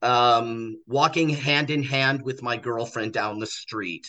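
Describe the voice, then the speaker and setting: Over a quiet background, a man with an American accent talks at a fairly slow pace in a bright, sharp tone at a medium pitch. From United States. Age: 50s. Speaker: social worker. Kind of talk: casual chat. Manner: halting.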